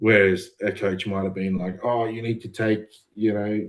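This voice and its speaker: A man's fairly low voice, in an Australian accent, with fairly even intonation. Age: 30s. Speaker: amateur bodybuilder. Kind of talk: podcast interview.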